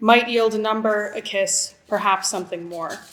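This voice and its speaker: A woman with an American accent speaks in a normal speaking voice, her fairly high pitch rising and falling in an ordinary way. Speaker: writer. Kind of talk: reading aloud. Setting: stage with audience.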